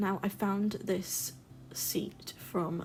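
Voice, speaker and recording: Here is a woman speaking. She has an English accent. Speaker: gaming YouTuber. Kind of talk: game build voice-over commentary. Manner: casual, with filler ums.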